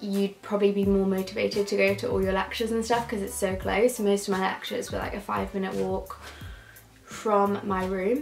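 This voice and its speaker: Faint music plays in the background while a woman speaks. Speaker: university student vlogger. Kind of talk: casual vlog chat. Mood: upbeat, chatty. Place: home room. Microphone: camera far.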